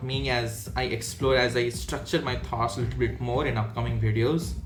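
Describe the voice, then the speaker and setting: Over music in the background, a man talks at a moderate pace with audible room echo. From India. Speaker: design manager and mentor. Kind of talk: casual vlog monologue. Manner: unscripted, halting with fillers.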